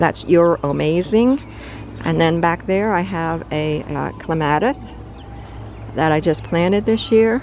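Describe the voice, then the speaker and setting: Over noticeable background noise, a woman with a fairly low pitch speaks at a fairly slow pace with lively intonation and long, frequent pauses. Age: 70s. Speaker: home gardener. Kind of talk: casual garden tour narration. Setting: outdoors in garden. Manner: halting, many fillers.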